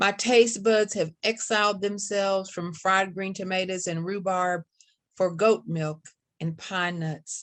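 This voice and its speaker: Against a quiet background, a woman with an Appalachian accent speaks at a fairly slow pace with fairly even intonation. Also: medium pitch for a woman. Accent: Appalachian Kentucky. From Kentucky Appalachia. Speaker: poet. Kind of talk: poetry reading. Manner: hesitant.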